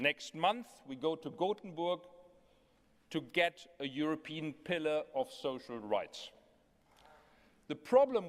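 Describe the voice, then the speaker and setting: This man speaks at a very slow pace, leaving long, frequent pauses. His voice sits high and swings very widely in pitch. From Germany. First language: German (speaking French). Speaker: European trade union official. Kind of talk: congress speech.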